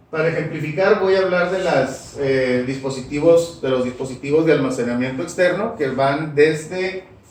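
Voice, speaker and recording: A man is heard with ordinary pitch variation amid noticeable background noise and audible room echo. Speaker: school supervisor and master's student. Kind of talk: academic presentation. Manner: formal.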